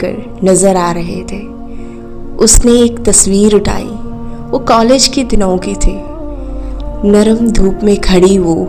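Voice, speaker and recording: A woman of medium pitch with ordinary pitch variation, music playing in the background. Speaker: storyteller. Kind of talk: emotional read story.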